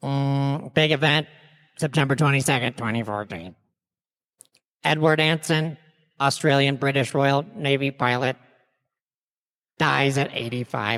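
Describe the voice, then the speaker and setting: In a put-on character voice of low-to-middle pitch, the speaker goes at a moderate pace with long, frequent pauses. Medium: audio drama. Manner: casual, slangy.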